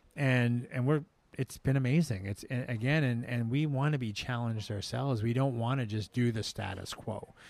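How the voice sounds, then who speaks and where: A man speaks with a western Canadian accent. His intonation stays fairly even. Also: medium pitch for a man, moderate pace. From Canada, Vancouver Island (Langford near Victoria). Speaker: executive chef and restaurant owner. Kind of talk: casual interview chat. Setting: restaurant after service, some ambient noise.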